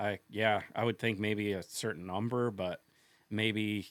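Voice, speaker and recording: Recorded very cleanly over a silent background, a man with an American accent speaks in a fairly low pitch with fairly even intonation. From Kansas. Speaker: fisheries biologist. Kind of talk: casual interview. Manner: halting.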